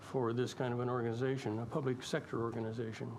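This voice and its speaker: The pace is very fast. A man's words carry audible room echo. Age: 70s. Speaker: public submitter at council hearing. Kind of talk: public hearing Q&A, debate.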